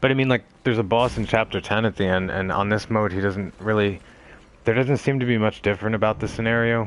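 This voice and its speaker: At a very fast pace, a man with a fairly low pitch talks in fairly even intonation. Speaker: game streamer. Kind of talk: live gameplay commentary. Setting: live stream. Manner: monotone.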